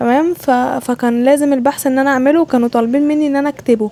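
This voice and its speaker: Over noticeable background noise, a woman with an Egyptian accent talks at a very fast pace in a high pitch. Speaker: student vlogger. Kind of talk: casual vlog voiceover.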